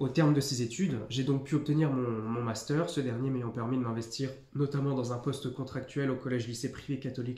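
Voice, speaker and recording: A man's dark, mellow, somewhat breathy voice, fairly quick and monotone with flat intonation. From northeastern France, near Nancy. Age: 20s. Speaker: youtuber, firefighter candidate. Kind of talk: mock oral exam presentation; tutorial. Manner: hesitant, many fillers.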